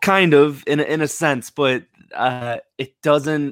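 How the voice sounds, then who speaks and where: A bright, sharp male voice in an American accent, on a very clean recording with a silent background. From United States. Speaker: movie podcast host. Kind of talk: casual chat.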